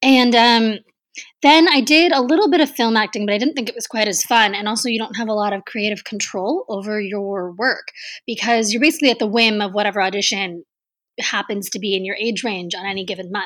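With an American accent, a woman in a normal speaking voice talks at a fairly quick pace and a fairly high pitch with ordinary pitch variation, in a very clean recording with a silent background. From Texas. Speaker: travel writer and mountaineer. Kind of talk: interview.

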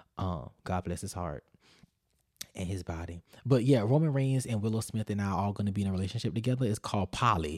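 A man talks at a very fast pace in an animated tone, his pitch fairly low. The sound is dry and close with no echo, and the recording is very clean with a silent background. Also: ordinary pitch variation. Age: 20s. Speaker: podcast host. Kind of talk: casual Q&A chat on livestream. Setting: home, recording while live on TikTok.

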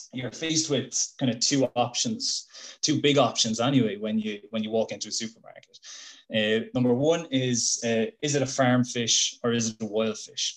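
Speaking with a southern Irish accent, a man keeps a medium pitch and fairly even intonation at a moderate pace. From Ireland, Waterford. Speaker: fish biologist. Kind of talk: casual chat. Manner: hesitant, repeats words.

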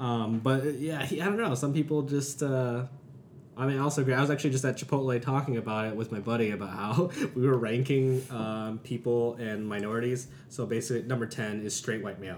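A man's medium-pitched voice at a fairly quick pace, ordinary pitch variation, and noticeable background noise. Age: 30s. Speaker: podcast host. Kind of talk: casual chat, interview. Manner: joking, laughs often.

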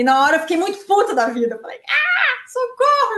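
A woman is talking. Her pace is moderate. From southern Brazil, Araranguá, Santa Catarina. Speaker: runner and former model. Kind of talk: interview.

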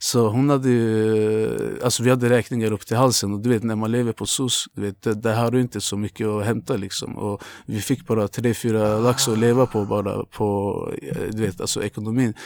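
A man's medium-pitched, monotone voice at a moderate pace, flat in intonation, dry and close with no echo, on a very clean recording with a silent background. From Azerbaijan, moved to Luleå at 13. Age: 20s. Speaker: tattoo artist. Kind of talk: casual chat.

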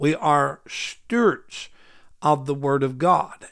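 Speaking with an Arkansas accent, a man uses a fairly high pitch and ordinary pitch variation. The recording is very clean, with a silent background. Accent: Southern US (Arkansas). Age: 60s. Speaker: preacher, Bible teacher. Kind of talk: Bible study teaching.

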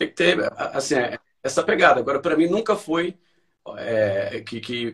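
The man's voice is somewhat breathy. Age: 40s. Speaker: amateur runner. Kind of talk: interview.

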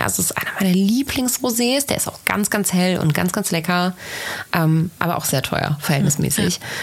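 Over noticeable background noise, a woman speaks with lively intonation and a fairly low pitch. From Rhineland, Bergisch Gladbach near Cologne. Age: 20s. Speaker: podcast host, social media marketing consultant. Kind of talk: casual chat.

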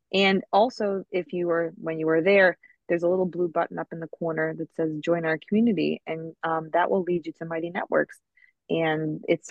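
A plain, everyday voice moves at a fairly quick pace with fairly even intonation. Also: woman. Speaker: podcast co-host, art teacher. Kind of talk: scripted intro then casual chat.

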